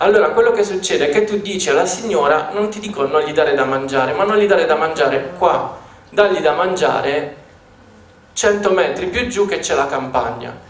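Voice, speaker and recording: Audible room echo surrounds a man speaking at a moderate pace with a high pitch and lively intonation. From southern Italy. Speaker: dog trainer. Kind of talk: conference talk with video commentary. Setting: stage with audience. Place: stage.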